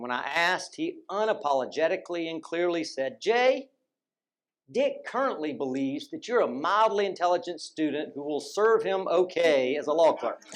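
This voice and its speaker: In a Southern US accent, a man speaks at a high pitch with very wide pitch swings. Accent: southern drawl. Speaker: former law student and judicial clerk. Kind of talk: tribute speech.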